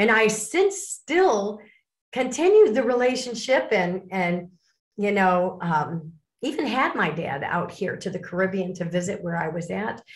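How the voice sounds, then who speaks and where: A woman with an American accent speaks at a medium pitch with a somewhat breathy voice and lively intonation. Her fairly slow delivery is captured in a very clean recording with a silent background. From US Midwest, Lake Forest, Illinois. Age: 60s. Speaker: author and speaker on abuse recovery. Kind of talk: interview.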